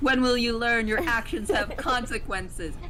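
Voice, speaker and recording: Over noticeable background noise, a put-on character voice sounds squeaky and fairly high, moving at a moderate pace. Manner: scolding, pompous.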